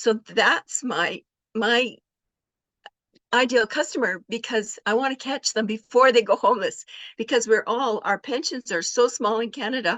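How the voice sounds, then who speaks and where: Here a woman talks with a high pitch and ordinary pitch variation. Her pace is moderate. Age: 70s. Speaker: online business coach. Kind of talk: testimony.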